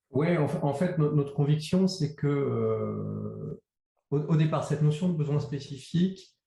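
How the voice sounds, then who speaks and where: A dark, mellow tone, somewhat breathy, at a fairly slow pace with fairly even intonation and very even loudness. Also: man, fairly high pitch for a man. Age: 50s. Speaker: agency co-founder. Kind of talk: interview. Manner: hesitant.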